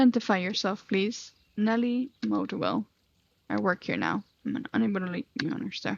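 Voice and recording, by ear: Natural-voiced reading aloud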